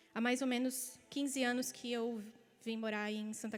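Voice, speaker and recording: A woman with a southern Brazilian accent talks at a moderate pace in a fairly high voice, her intonation monotone and flat. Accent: gaúcho. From Rio Grande do Sul, southern Brazil. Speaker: pastor. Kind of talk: sermon; testimony.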